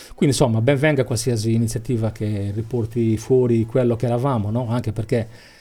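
A man's somewhat breathy, dark and mellow voice at medium pitch, with monotone, flat intonation, a fairly quick pace, and hardly any pauses. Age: 50s. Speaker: cultural association president. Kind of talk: radio interview.

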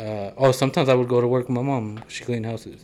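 This man has an ordinary speaking voice. His pitch is medium and his intonation fairly even. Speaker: podcast host. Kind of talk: casual chat.

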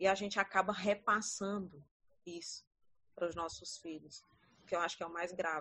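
With long, frequent pauses and big swings in loudness, a woman speaks at medium pitch and a moderate pace in a bright, sharp tone with fairly even intonation. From Ceará, Brazil (Paracuru). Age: 30s. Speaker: teacher. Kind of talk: casual chat.

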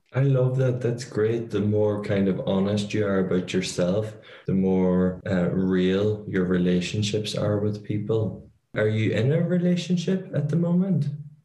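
This man speaks with an Irish accent, fairly slowly and at a fairly low pitch. His voice is somewhat breathy, with lively intonation. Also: very even loudness. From Ireland. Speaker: podcast host. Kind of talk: casual interview.

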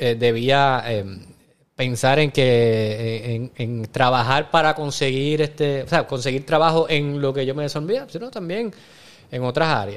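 A man talks at a fairly slow pace in a plain, everyday voice, with ordinary pitch variation. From Puerto Rico. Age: 40s. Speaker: actor and restaurant owner. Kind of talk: casual interview chat.

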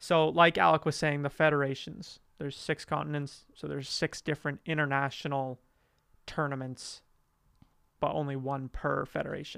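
Recorded with a dry, close sound and no echo, a man with a Canadian accent speaks at a fairly high pitch in a bright, sharp tone. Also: very clean recording, silent background. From Western Canada, Calgary, Alberta. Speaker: soccer podcast co-host. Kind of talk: casual chat.

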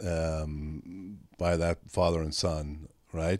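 In a very clean recording with a silent background and a dry, close sound with no echo, a man with an Irish accent speaks in a very deep, low voice. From Ireland. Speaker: management consultant. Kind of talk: casual chat.

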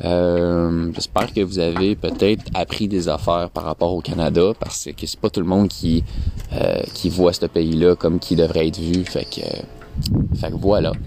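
With noticeable background noise, a man in a Quebec accent speaks in a very deep, low voice at a fairly slow pace, his intonation fairly even. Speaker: podcaster. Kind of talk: personal monologue. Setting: outdoors.

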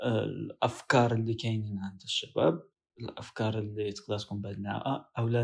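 A man's fairly low, somewhat breathy voice, monotone and flat, at a fairly slow pace with hardly any pauses. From Morocco. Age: young. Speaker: podcast co-host, university student. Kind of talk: casual podcast introduction.

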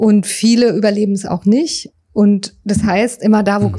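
Speaking at a fairly slow pace, a woman with a medium-pitched, somewhat breathy voice keeps a dark, mellow tone and fairly even intonation. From Berlin, Germany. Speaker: writer and psycho-oncologist. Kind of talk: interview. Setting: inside a parked railway wagon at a memorial site. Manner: halting, many fillers.

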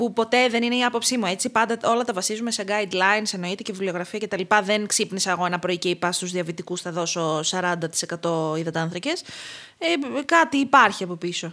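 A woman talks fairly quickly in an unremarkable speaking voice, her pitch medium and its variation ordinary. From Crete, Greece. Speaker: clinical dietitian. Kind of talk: casual interview.

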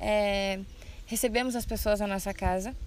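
A woman with a medium pitch and fairly even intonation talks at a moderate pace. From Brazil, Rio Grande do Sul (Santa Rosa). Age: 20s. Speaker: missionary trainee. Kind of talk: podcast conversation on church topics. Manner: hesitant, many filler sounds.

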